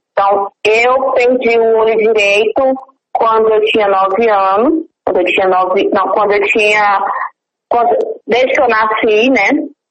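At a fairly slow pace, a woman with fairly high pitch speaks in a plain, everyday voice, with ordinary pitch variation and very even loudness. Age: 30s. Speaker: small business owner with low vision. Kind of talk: interview.

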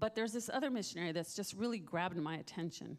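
A woman with a medium-pitched voice talks very fast. Her intonation is lively. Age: 60s. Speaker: missionary. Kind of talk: testimony. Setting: church.

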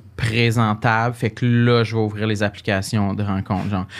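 The delivery moves at a moderate pace with a monotone, flat intonation. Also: man. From Quebec, Gaspésie. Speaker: comedian. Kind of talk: casual chat.

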